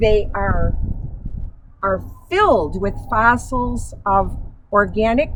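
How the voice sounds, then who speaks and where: With an American accent, a woman speaks amid audible room echo. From US Midwest, Illinois. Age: 70s. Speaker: local historian. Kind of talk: guided tour talk. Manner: slightly halting.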